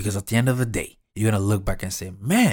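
Somewhat breathy and animated, a man speaks on a very clean recording with a silent background. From developing country abroad. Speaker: motivational podcaster. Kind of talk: motivational monologue.

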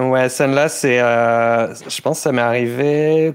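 Pitch rises and falls in an ordinary way. The speech moves at a very slow pace. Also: man. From southern France, Toulouse area. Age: 30s. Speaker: metal band vocalist. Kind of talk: casual interview chat.

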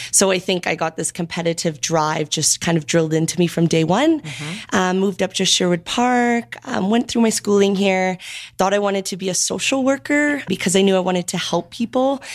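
On a very clean recording with a silent background, a woman with an Albertan accent talks at a fairly quick pace in a medium pitch, her intonation lively and hardly any pauses between words. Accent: Canadian (Alberta). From small-town Alberta, Canada (Sylvan Lake). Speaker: fitness studio co-owner and personal trainer. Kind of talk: interview conversation.

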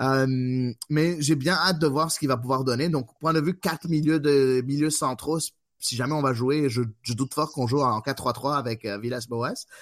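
A man with an unremarkable speaking voice talks at a fairly high pitch with fairly even intonation. His pace is fairly slow, and the recording is very clean with a silent background. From Quebec, Montreal. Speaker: podcast host. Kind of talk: casual chat.

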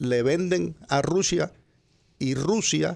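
A man is speaking. His pace is very slow. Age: old. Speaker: radio host's father, Trump supporter. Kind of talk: heated debate.

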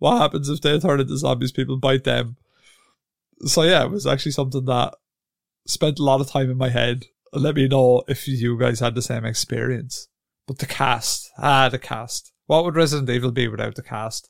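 A man's medium-pitched, normal speaking voice, at a moderate pace with fairly even intonation. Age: 30s. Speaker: video game podcast host. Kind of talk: solo podcast monologue. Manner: casual, conversational.

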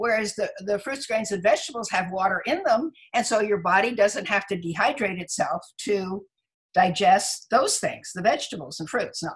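A woman's somewhat breathy voice sits at medium pitch. She keeps a moderate pace with lively intonation. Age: 80s+. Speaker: physician and author. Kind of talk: interview.

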